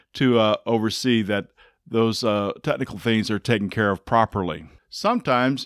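A man talks at a moderate pace with ordinary pitch variation. The sound is dry with no echo, over a quiet background. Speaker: engineering course instructor. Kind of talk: lecture. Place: home room. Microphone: studio mic.

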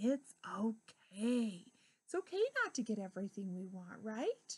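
Somewhat breathy, a woman speaks over a quiet background. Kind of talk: storytelling talk to children. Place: classroom. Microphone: webcam.

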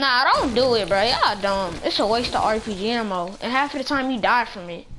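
Over noticeable background noise, a woman speaks at a moderate pace in a fairly high pitch, animated in tone with ordinary pitch variation. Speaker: gaming YouTuber. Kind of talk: gameplay commentary. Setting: online game voice chat. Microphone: headset.

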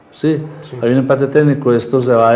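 A man at a moderate pace, pitched in the medium range. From Colombia, Rionegro (Antioquia); Antioquia, Colombia. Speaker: local politician. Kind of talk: political interview. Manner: hesitant, many fillers. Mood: warm, friendly. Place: studio. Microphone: lapel.

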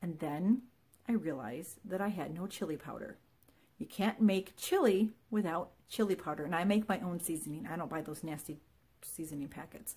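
Somewhat breathy and dark, mellow in tone, a woman talks at a moderate pace with lively intonation and big swings in loudness. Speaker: vlogger. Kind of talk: casual vlog chat. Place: home room. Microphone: phone near.

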